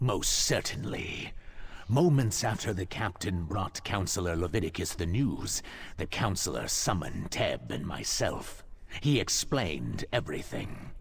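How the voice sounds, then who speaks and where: Putting on a character voice, a man speaks at a moderate pace with a fairly low pitch. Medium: video game.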